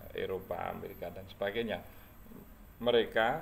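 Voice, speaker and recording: With audible room echo and noticeable background noise around him, this man talks at a moderate pace. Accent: Javanese. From Java, Indonesia. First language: Javanese (speaking Indonesian). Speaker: history content creator. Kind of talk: casual talk about a book. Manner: halting, many fillers.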